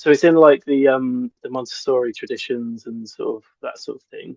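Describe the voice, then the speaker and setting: The man speaks with a British accent, and the sound is dry and close with no echo. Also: big swings in loudness. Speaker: forest school teacher. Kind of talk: interview. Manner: fast; hesitant, many ums.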